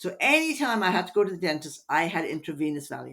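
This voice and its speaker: The speaker has an Irish accent. The pace is fairly quick. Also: woman. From Ireland, Dublin. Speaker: hypnotherapist. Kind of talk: podcast interview.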